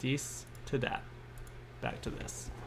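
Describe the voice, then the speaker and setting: A man is heard against noticeable background noise. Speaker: doll photographer streaming photo editing. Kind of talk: live stream tutorial. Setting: live stream. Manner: fast; casual, self-deprecating.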